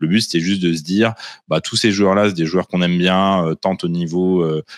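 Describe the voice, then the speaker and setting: In a quiet background with dry sound and no echo, a man speaks at a very deep, low pitch with monotone, flat intonation. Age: 30s. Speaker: tabletop wargaming champion; guest. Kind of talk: casual chat. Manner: hesitant, many fillers. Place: home room. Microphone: video call.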